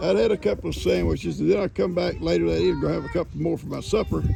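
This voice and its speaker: Amid noticeable background noise, a man in a Southern US accent talks at a very fast pace. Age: 70s. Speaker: farmer. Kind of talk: casual chat. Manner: mumbling; hard to understand.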